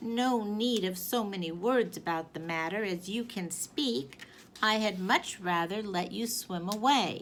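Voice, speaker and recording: A female-sounding put-on character voice speaks at a fairly slow pace. Clear background noise can be heard. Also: medium pitch for a woman. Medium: read story. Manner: mild, hesitant.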